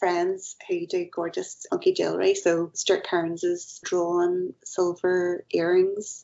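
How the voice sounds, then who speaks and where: A fairly slow delivery in a Northern Irish accent. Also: woman. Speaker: multidisciplinary artist. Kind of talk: podcast interview.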